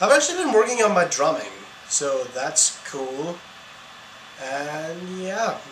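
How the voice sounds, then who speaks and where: A man's fairly high voice with lively intonation at a fairly slow pace, long and frequent pauses, audible room echo and noticeable background noise. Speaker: student vlogger. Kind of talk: casual vlog monologue. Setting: outdoors in city. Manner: animated; mumbling in public.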